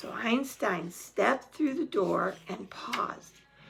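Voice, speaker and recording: A woman's raspy, put-on character voice, with very wide pitch swings and a fairly slow pace. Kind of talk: bedtime story. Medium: read story. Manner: warm, chatty.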